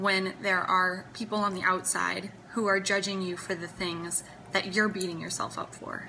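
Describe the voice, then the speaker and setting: A woman speaks at a moderate pace and medium pitch in a monotone, flat delivery, with audible room echo and music playing in the background. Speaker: singer-songwriter vlogger. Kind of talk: personal vlog talk. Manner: hesitant with fillers.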